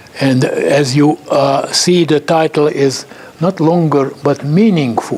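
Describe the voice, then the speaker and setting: A man talks at a very slow pace with fairly even intonation, and noticeable background noise runs behind him. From Hungary. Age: 80s+. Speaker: chemist. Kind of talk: lecture. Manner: halting.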